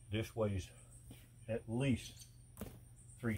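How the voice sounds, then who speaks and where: The man's tone is dark, mellow, and relaxed. His voice is somewhat breathy, with ordinary pitch variation. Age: 60s. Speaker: welder and steel fabricator. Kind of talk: casual vlog narration. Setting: outdoors. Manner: relaxed, folksy.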